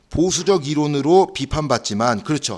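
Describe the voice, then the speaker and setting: With a fairly high pitch, a man speaks in an animated tone. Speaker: social welfare exam lecturer. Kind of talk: lecture. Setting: classroom. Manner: fast; animated, rhetorical questions.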